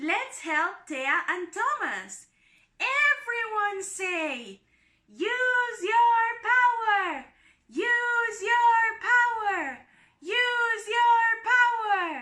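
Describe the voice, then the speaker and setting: Putting on a squeaky character voice, a woman speaks very slowly at an extremely high pitch. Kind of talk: children's storybook narration. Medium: read story. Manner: clear, engaging.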